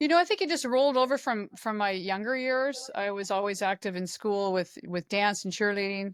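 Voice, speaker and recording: A woman with a plain, everyday voice talks at a fairly quick pace with hardly any pauses. Her medium pitch moves with lively intonation. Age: 60s. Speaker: fitness coach. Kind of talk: casual chat. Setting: podcast interview.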